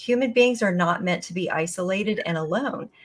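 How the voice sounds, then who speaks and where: Normal pitch movement from a woman speaking at a medium tempo. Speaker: guest. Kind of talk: interview answer. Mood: earnest, concerned. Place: home room.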